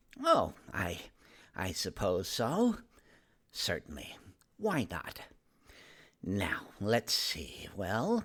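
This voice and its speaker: A man speaks in a put-on character voice at medium pitch and a very slow pace. Long, frequent pauses break up his lines. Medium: read story. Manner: gentle, hesitant.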